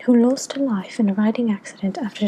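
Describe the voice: Plain reading aloud, the pitch varying in an ordinary way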